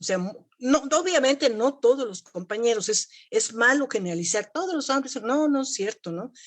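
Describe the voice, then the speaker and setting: A woman speaks at a moderate pace with lively intonation. Her pitch is high. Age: 70s. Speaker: mathematics teacher. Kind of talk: panel discussion. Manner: halting, many repetitions.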